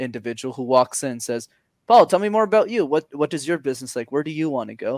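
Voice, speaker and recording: Against a silent background in a very clean recording, a man with a Montreal accent talks at a very fast pace and fairly high pitch, in a dry, close sound with no echo. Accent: Canadian English, Montreal. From Montreal, Quebec. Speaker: communication coach. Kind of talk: interview. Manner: animated.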